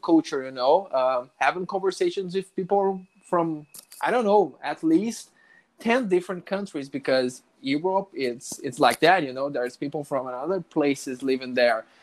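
Speaking at a moderate pace in a Portuguese accent, a man uses a high pitch and lively intonation. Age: 20s. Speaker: network engineer, English learner. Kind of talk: casual interview conversation. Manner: halting, many restarts and fillers.

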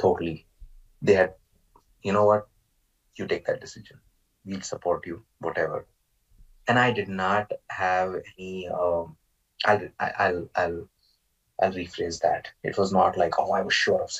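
Here a man talks at a moderate pace, his loudness swinging widely. Long, frequent pauses break up his speech. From Maharashtra, India. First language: Marathi. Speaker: guest, Indian immigrant to the US. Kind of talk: casual interview conversation. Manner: hesitant, filler-heavy.

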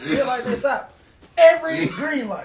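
An animated male voice over noticeable background noise. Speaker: podcast host. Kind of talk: casual banter, crude comedic chat. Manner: animated, joking.

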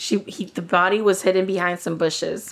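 A woman speaks at a moderate pace in a Spanish accent, her pitch fairly low with ordinary variation. The recording is very clean, with a silent background. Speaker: true crime podcast co-host. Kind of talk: casual chat; reading a prepared case narrative.

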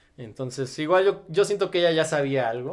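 In a very clean recording with a silent background, a man uses an ordinary speaking voice at a moderate pace with ordinary pitch variation. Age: 20s. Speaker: body modification enthusiast. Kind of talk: casual chat. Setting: studio.

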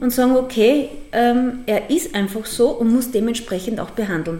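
Against noticeable background noise, a woman with a high pitch talks at a fairly slow pace. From Upper Austria, Mühlviertel. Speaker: dog boarding kennel owner. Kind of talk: interview. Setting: at her dog kennel, dogs around.

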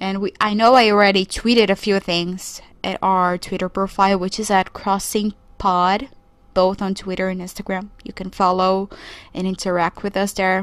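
Monotone, flat delivery at a moderate pace in a Portuguese accent, on a very clean recording with a silent background. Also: woman, medium pitch for a woman. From Brazil. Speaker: podcast host. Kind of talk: solo podcast monologue. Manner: casual, conversational.

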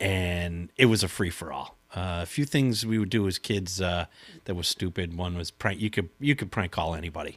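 Ordinary pitch variation marks this voice, which speaks with a Boston accent. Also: man, very deep, low pitch for a man, moderate pace, very clean recording, silent background. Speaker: prank caller. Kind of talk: casual interview.

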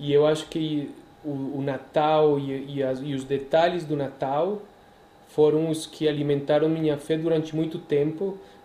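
With a Spanish accent and a fairly high pitch, a man speaks at a fairly slow pace in monotone, flat intonation, with audible room echo. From Colombia, Medellín. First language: Spanish (speaking Portuguese). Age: 40s. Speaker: priest. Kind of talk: casual interview.

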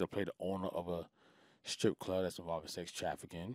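A man with a New York accent talks at a very fast pace in a very deep, low voice. His intonation is monotone and flat, and the sound is dry and close with no echo. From Queens, New York. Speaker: music manager. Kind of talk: casual interview chat.

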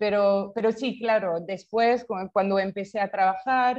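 A woman in a French accent, medium-pitched, at a fairly slow pace with fairly even intonation. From France. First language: French (speaking Spanish). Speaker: startup founder. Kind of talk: interview. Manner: halting, many repetitions.

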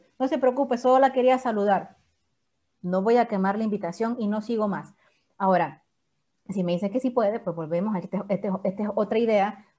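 Against a quiet background, a woman with a plain, everyday voice talks at a fairly quick pace, medium in pitch with ordinary pitch variation. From El Salvador, San Salvador. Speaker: network marketing leader and surgeon. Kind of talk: training talk.

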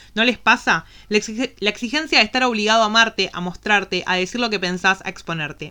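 In a Rioplatense accent, a woman speaks at a fairly high pitch with a bright, sharp tone. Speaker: podcast co-host. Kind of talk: casual chat.

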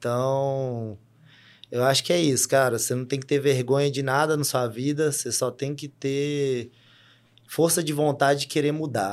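This man has an unremarkable speaking voice with a fairly high pitch. He talks at a moderate pace with fairly even intonation. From Brazil, Minas Gerais (Sete Lagoas). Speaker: fitness coach and football referee. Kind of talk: casual interview chat.

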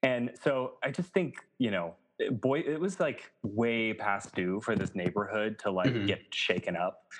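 With lively intonation, a man speaks in an ordinary speaking voice at medium pitch and a moderate pace. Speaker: podcast producer. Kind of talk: casual chat.

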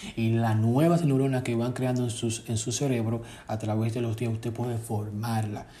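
The recording has audible room echo. A man speaks at a moderate pace and medium pitch, monotone with flat intonation. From Dominican Republic. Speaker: podcast host, self-taught IT technician. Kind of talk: solo podcast talk on neuroscience and self-help. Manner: hesitant, with fillers.

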